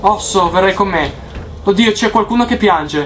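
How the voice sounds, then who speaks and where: Light background noise sits beneath a man speaking at a moderate pace. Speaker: gamer. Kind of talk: let's play commentary. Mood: scared, excited, swearing. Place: home room.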